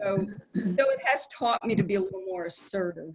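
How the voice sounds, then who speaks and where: With an American accent, a woman speaks with lively intonation in a somewhat breathy voice. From New York. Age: 70s. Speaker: comedian. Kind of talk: guest talk to a club meeting.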